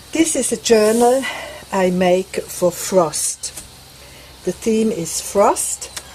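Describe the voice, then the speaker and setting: Over noticeable background noise, a woman with a Swiss accent speaks at a very slow pace and a fairly high pitch, using lively intonation and long, frequent pauses. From Switzerland. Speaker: craft vlogger. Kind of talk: tutorial; casual chat. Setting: outdoors on a veranda.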